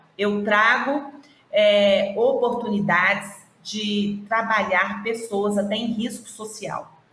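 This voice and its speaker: Very slow speech from a woman with a fairly high pitch, amid audible room echo and noticeable background noise. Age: 50s. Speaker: regional manager of an internship institute. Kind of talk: interview on a live stream.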